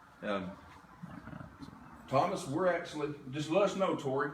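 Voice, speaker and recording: A man with an American accent and a fairly high pitch speaks at a moderate pace with lively intonation. Noticeable background noise and audible room echo come through. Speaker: paranormal investigation team leader. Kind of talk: livestream walkthrough commentary. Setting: livestream at an investigation site. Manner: loud.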